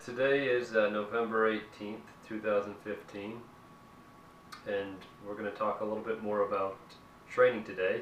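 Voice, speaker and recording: Noticeable background noise sits behind a man with a fairly low pitch. He speaks in a flat monotone at a moderate pace, with long, frequent pauses. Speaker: interviewer. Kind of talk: interview question.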